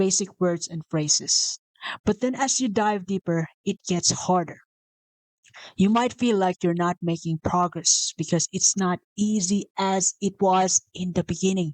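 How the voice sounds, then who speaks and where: In a Visayan Filipino accent, a woman talks at a fairly slow pace with fairly even intonation, and the sound is dry and close with no echo. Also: medium pitch for a woman. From Philippines (Visayas). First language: Bisaya (Cebuano). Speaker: motivational video host. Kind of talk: casual motivational talk. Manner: unscripted, with self-corrections.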